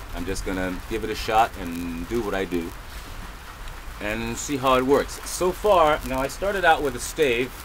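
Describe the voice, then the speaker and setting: The speaker goes at a moderate pace. Background noise is noticeable. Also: man. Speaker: bowyer hobbyist, video maker. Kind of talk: tutorial. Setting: indoors in a cabin. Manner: loud; halting.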